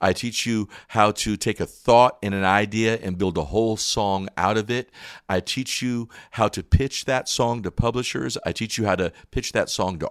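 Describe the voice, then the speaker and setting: A man with an American accent has a normal speaking voice at a fairly low pitch, with ordinary pitch variation and a moderate pace. The very clean recording has a silent background and a dry, close sound with no echo. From North Carolina Appalachians and Michigan. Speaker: gospel singer and preacher. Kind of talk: testimony.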